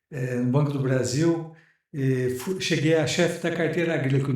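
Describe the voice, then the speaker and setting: A man's somewhat breathy voice, fairly high in pitch, with ordinary pitch variation at a moderate pace amid audible room echo. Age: 60s. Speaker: retired tax auditor, business lawyer. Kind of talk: interview.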